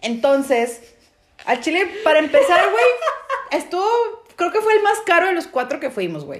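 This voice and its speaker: A woman with a Mexican accent talks at a fairly slow pace, her extremely high pitch moving in very wide swings. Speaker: podcast co-host. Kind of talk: casual chat.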